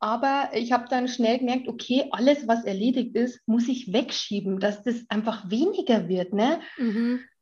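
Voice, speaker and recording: With hardly any pauses, a woman talks at a high pitch with ordinary pitch variation. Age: 30s. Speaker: mother and social media influencer. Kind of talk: casual interview chat.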